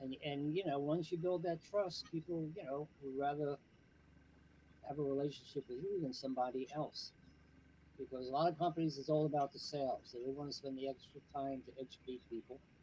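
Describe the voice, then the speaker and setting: A man's fairly high, somewhat breathy voice at a fairly quick pace, with fairly even intonation. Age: 70s. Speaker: CBD business owner and organic landscaper. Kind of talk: podcast interview. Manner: casual, many fillers.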